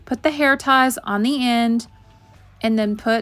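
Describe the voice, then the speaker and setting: A woman's fairly high voice with ordinary pitch variation and a moderate pace, music in the background. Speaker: DIY YouTuber. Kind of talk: tutorial. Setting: home video with ring light. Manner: casual, filler-heavy.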